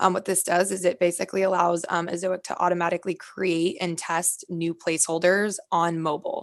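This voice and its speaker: Fairly low for a woman, her voice runs at a fairly quick pace with hardly any pauses and fairly even intonation. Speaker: ad platform representative. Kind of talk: interview. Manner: fast.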